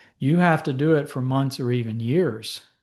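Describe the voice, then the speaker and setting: Speaking at a moderate pace, a man sounds somewhat breathy with lively intonation. The background is quiet. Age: 60s. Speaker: physician and herbal medicine educator. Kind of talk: lecture. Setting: presentation to a support group audience.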